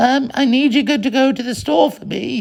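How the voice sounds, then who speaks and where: A man puts on a character voice at an extremely high pitch. He keeps a moderate pace with ordinary pitch variation. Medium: read story.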